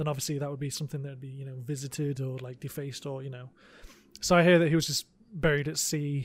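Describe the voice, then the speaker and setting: Very fast pace, somewhat breathy, monotone and flat in intonation. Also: man. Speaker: podcast co-host. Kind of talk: casual chat.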